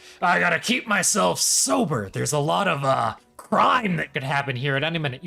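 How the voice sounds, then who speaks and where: Putting on a character voice, a man talks at a fairly quick pace, his fairly high pitch moving in very wide swings. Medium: actual play. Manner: halting, repetitive speech.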